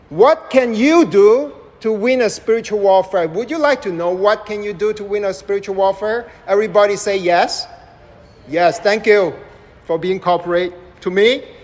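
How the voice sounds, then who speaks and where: A man with a high pitch speaks at a moderate pace with ordinary pitch variation over noticeable background noise. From Malaysia. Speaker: preacher. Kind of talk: sermon. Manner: interactive, questions to audience.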